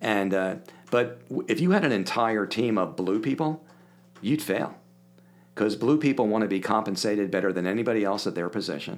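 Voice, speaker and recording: A man with a normal speaking voice talks at a fairly quick pace, his fairly low pitch carried by lively intonation. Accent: American. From Philadelphia area, US. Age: 60s. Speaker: podcast guest, business coach. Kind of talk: casual interview chat.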